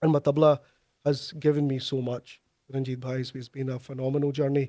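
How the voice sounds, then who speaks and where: In a dry, close sound with no echo, a man with a Glaswegian accent talks at a fairly quick pace in a dark, mellow tone with monotone, flat intonation. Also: medium pitch for a man. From Scotland, Glasgow. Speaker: tabla player and music lecturer. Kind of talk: interview. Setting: studio.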